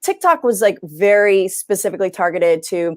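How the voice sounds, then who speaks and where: An animated tone at a fairly slow pace, with an American accent, on a very clean recording with a silent background. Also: woman. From New York. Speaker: science communicator. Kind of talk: panel discussion.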